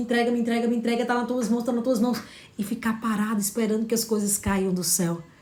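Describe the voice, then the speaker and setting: A woman speaks in a northeastern Brazilian accent at a fairly high pitch. Her tone is animated. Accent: drawling Northeastern Brazilian. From Northeast Brazil. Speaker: motivational coach. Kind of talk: motivational livestream talk. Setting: live stream.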